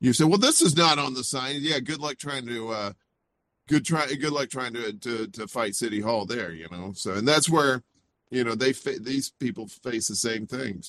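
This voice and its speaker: A man in a Southern US accent talks at a moderate pace with lively intonation. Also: medium pitch for a man. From US South, Mississippi. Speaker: indie media personality. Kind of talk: casual interview chat.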